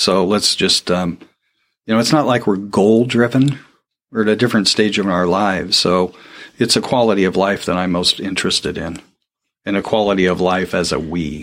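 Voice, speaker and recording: A man with an American accent has an unremarkable speaking voice and ordinary pitch variation. He talks at a moderate pace on a very clean recording with a silent background. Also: fairly low pitch for a man. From Portland, Oregon, US Pacific Northwest. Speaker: podcast producer. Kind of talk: interview.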